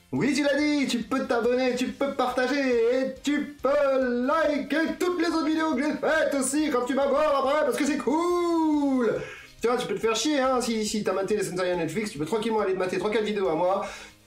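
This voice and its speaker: A man at an extremely high pitch with lively intonation and moderate pace, amid audible room echo and noticeable background noise. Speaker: anime reviewer, YouTuber. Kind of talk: casual video review. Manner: animated.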